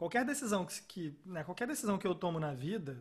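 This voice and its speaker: The man's high voice moves through very wide pitch swings. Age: 30s. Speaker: podcast host. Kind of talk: casual chat.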